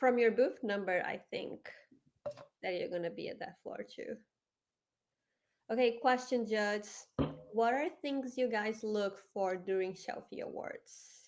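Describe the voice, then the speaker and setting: With a Brazilian Portuguese accent, a woman speaks fairly slowly at a fairly high pitch, using long, frequent pauses. Her loudness swings widely while her pitch varies in an ordinary way. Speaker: community host and award judge. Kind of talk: live stream panel chat. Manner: talkative.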